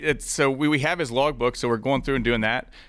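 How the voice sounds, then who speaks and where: A man's bright, sharp voice comes through on a very clean recording with a silent background. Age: 40s. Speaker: business founder and pilot. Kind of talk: interview. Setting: studio.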